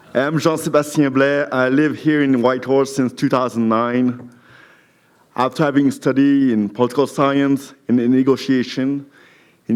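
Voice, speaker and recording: At a moderate pace, a man talks with a French accent. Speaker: municipal council candidate. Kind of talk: campaign speech at candidates forum.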